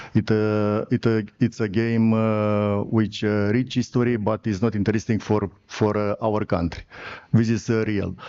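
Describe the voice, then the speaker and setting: The speaker has a Romanian accent and a dark, mellow tone, delivered at a fairly slow pace. The intonation is monotone and flat, and the background is quiet. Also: man, fairly low pitch for a man. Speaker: sports federation president. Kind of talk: conference presentation. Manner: halting.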